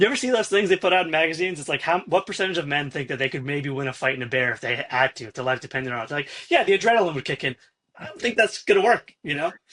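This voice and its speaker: Bright and sharp in tone, a man with an American accent races along at a very fast pace, his fairly high pitch carrying lively intonation and big swings in loudness. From New York. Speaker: podcast host. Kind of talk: interview conversation.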